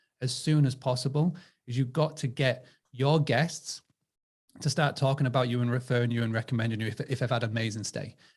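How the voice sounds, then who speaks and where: A man with an English accent speaks at a medium pitch and a fairly quick pace, somewhat breathy, with fairly even intonation. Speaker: direct booking marketing supplier. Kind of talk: webinar panel discussion.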